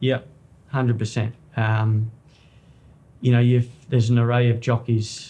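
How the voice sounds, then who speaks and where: The voice has a dark, mellow tone and is somewhat breathy, moving at a fairly slow pace with monotone, flat intonation. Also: man. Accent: Australian. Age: 30s. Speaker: jockey. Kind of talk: interview.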